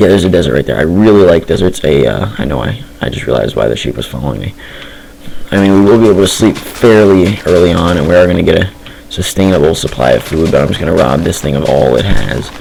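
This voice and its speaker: Amid noticeable background noise, a man with a very deep, low pitch talks at a very fast pace with lively intonation. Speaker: gaming youtuber. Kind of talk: gameplay commentary. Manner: fast, rambling. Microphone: poor mic quality.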